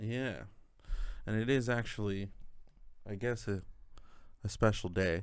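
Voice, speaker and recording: A man speaks with a fairly low pitch and fairly even intonation at a fairly slow pace, leaving long, frequent pauses, with audible room echo. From Canada. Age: 30s. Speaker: podcast co-host, part-time drummer. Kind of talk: casual chat. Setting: home drum studio, on camera.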